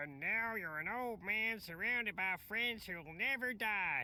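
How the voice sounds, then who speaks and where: This female-sounding voice is a put-on character voice, pitched in the medium range for a woman and delivered at a fairly slow pace. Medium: video game.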